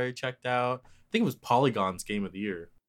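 A man with an unremarkable speaking voice talks at a moderate pace, his fairly low pitch showing ordinary variation, in a very clean recording with a silent background. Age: 20s. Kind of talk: casual chat.

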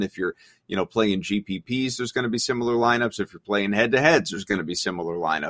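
Dry and close with no echo, a man's voice moves at a very fast pace with lively intonation. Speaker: DFS show host reading viewer chat. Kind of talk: sports analysis talk show. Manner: casual, conversational, frequent filler words.

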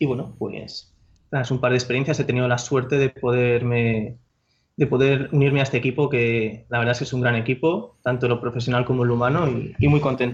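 Somewhat breathy, fairly quick speech in a monotone, flat intonation. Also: man, medium pitch for a man. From Spain, Madrid. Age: 20s. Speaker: tech company product manager. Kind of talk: interview.

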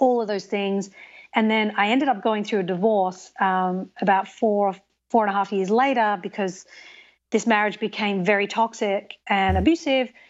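With an Australian accent, a woman speaks at medium pitch and a moderate pace. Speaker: TV host and documentary maker. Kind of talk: interview conversation. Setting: remote recording, sitting in an armchair.

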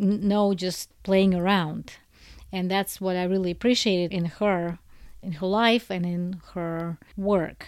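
A woman speaks with a Russian accent at a fairly slow pace and medium pitch, her intonation monotone and flat. The recording is very clean with a silent background. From Soviet Union. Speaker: book translator. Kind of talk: personal testimony.

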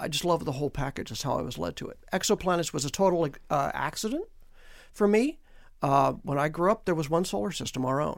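A man with vocal fry and a fairly high pitch speaks at a very fast pace with lively intonation, on a very clean recording with a silent background. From California, Mojave Desert. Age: 60s. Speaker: astronomy professor. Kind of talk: radio interview.

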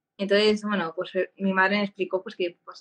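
A woman's medium-pitched voice in a dry, close sound with no echo. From Spain, Barcelona. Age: 30s. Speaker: patient advocate with epilepsy. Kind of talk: interview.

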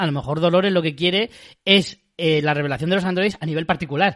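A plain, everyday voice from a man, fairly high in pitch, at a fairly quick pace with ordinary pitch variation. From Spain. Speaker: podcast host. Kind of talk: casual chat.

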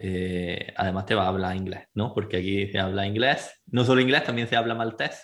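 The speaker has an Andalusian accent. Intonation stays fairly even. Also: man. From Spain, Andalusia (Granada). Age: 20s. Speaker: relocation agency director. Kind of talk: interview.

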